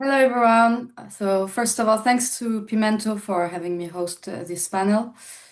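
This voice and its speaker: A woman with a French accent talks at a moderate pace. She hardly pauses at all. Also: fairly high pitch for a woman, ordinary pitch variation. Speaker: panel moderator, digital marketing strategist. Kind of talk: panel moderation.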